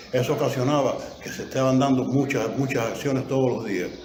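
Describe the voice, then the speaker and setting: There's noticeable background noise and audible room echo as a man with a medium pitch talks at a fairly quick pace. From eastern Cuba, Holguín. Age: 80s+. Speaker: war veteran. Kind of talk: testimony. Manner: halting, frequent repetitions.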